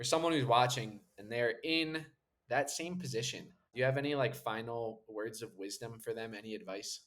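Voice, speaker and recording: At a moderate pace, a man speaks in a plain, everyday voice at medium pitch with ordinary pitch variation. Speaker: podcast host. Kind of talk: interview.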